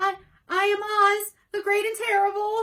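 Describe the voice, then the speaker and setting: A woman's put-on character voice, squeaky, shaky and extremely high, raised and projected at a moderate pace. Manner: frightened, pleading.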